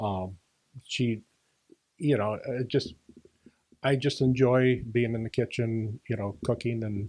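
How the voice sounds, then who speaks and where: A man's dark, mellow tone with an American accent, at a fairly slow pace. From Washington. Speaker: senior adult minister. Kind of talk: casual interview. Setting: podcast. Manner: hesitant, many fillers.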